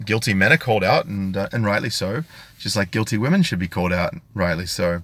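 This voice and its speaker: At a very fast pace, a man talks in a fairly low pitch. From Australia, country New South Wales. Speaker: YouTube commentator. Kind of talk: live stream commentary with chat. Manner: articulate, careful pronunciation; hesitant with fillers.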